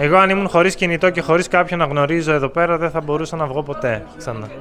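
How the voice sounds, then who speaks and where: With noticeable noise in the background, this man's fairly high voice shows ordinary pitch variation. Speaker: language teacher vlogger. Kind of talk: casual vlog talk. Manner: slow and clear.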